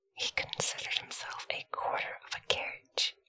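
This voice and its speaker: A woman is whispering. Her pace is moderate. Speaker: storyteller. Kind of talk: story reading aloud. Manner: soft, hushed ASMR reading voice.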